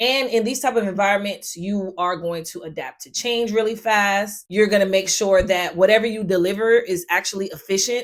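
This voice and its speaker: A woman talks at a fairly quick pace. Her voice is medium in pitch, with ordinary variation. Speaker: project manager and tech content creator. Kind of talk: educational explainer video. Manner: fast.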